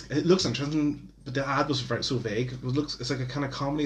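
Moderate pacing and fairly even intonation amid noticeable background noise. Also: man. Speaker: podcast host. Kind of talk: casual chat. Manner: casual, rambling.

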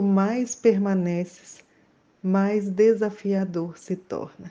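At a very slow pace, a woman speaks at medium pitch with a dark, mellow tone and monotone, flat intonation. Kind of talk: poem reading, solemn and intimate, addressed to 'you'. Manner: slow, measured, contemplative.

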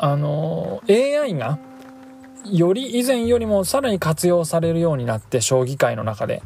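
High-pitched male speech with very wide pitch swings. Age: 30s. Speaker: podcast host. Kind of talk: casual solo talk. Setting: in a car.

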